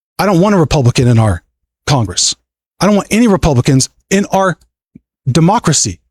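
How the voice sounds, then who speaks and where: At a very fast pace, a man talks with very wide pitch swings, very even loudness and long, frequent pauses, in a dry, close sound with no echo. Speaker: congressional candidate. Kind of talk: campaign speech. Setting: community meeting with audience. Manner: halting; impassioned.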